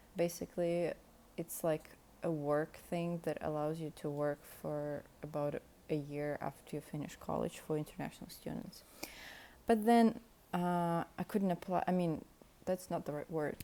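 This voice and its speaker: A woman with a Russian accent speaks at a moderate pace in a fairly low voice. Her intonation is fairly even, broken by long, frequent pauses. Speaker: podcast host. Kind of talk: casual monologue. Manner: unscripted, hesitant.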